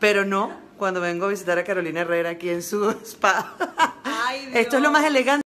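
Her tone animated and her intonation lively, a woman talks at a fairly quick pace and medium pitch. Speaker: comedian. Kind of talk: casual social media vlog. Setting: outdoors on a street at night.

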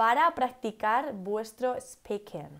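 Against a quiet background, a woman with a Castilian accent speaks very slowly with lively intonation and a fairly high pitch. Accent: Castilian Spanish (central Spain). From Spain, Cuenca; Spain. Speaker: English teacher. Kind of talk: live-stream English lesson. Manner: animated. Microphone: earbuds.

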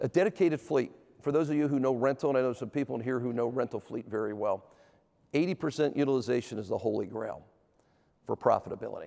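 Over a quiet background, a man talks at a very fast pace in a dark, mellow tone with ordinary pitch variation. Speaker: presenter. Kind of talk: conference talk. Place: stage. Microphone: lapel.

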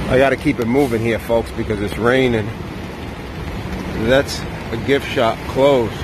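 Noticeable background noise sits behind a man whose intonation is fairly even, in a dry sound with no echo. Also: moderate pace. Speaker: walking vlogger. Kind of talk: casual vlog commentary. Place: street. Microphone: phone near.

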